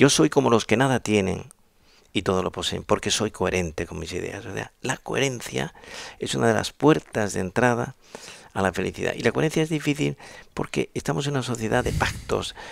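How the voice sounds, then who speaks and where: His pitch moves through very wide swings, with vocal fry in his voice. The man talks fairly quickly. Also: medium pitch for a man. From Spain. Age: 70s. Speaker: psychiatrist. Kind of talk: interview answer.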